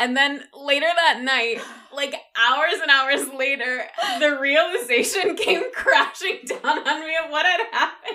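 Raising and projecting her high-pitched voice, a woman with an American accent speaks at a fairly slow pace with lively intonation. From Michigan, USA. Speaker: podcast co-host. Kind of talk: casual chat.

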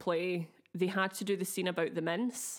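A woman in a Glaswegian accent, medium in pitch and fairly slow, on a very clean recording with a silent background. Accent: Glaswegian, slightly affected. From Scotland, Glasgow. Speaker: podcast co-host. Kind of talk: casual chat with storytelling. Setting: video recording.

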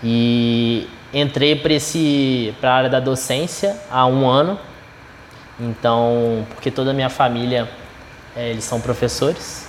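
Speaking at a very slow pace with long, frequent pauses, a man holds a medium pitch and fairly even intonation over noticeable background noise. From Minas Gerais, Brazil. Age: 20s. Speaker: chef and culinary instructor. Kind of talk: casual chat.

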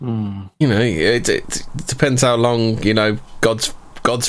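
A man speaks with a British accent and ordinary pitch variation over noticeable background noise. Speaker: podcast co-host. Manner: fast talker.

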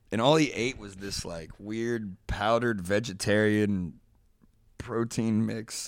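An unremarkable speaking voice from a man at fairly low pitch, with ordinary pitch variation, on a very clean recording with a silent background. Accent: American. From US Midwest (Dayton, Ohio). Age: 20s. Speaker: podcast guest, journalist. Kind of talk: casual chat. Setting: studio, on host's couch.

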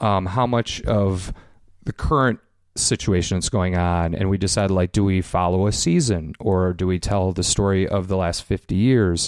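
In a Chicago accent, a man with a very deep, low pitch speaks at a moderate pace with fairly even intonation. His loudness is very even, and the recording is very clean with a silent background. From Chicago, US Midwest. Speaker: documentary filmmaker. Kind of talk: casual interview.

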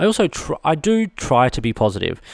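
A man is heard with a dry, close sound and no echo, in a very clean recording with a silent background. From Australia. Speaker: stationery reviewer and podcast host. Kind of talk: solo podcast monologue. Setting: studio.

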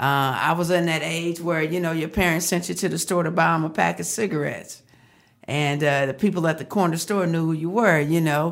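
Using a plain, everyday voice with an American accent, a woman talks fairly quickly at a fairly low pitch with fairly even intonation, in a very clean recording with a silent background. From Texas, Fort Worth. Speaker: marriage counselor. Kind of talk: casual interview.

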